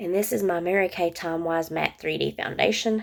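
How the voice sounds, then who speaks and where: A woman speaks with a fairly low pitch. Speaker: beauty vlogger. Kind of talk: makeup tutorial. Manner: casual, hesitant with fillers.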